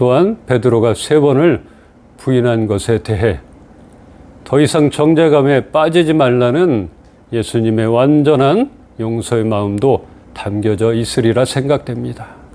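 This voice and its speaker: A medium-pitched man at a fairly slow pace, his loudness very even and his pitch variation ordinary. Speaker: pastor. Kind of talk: sermon.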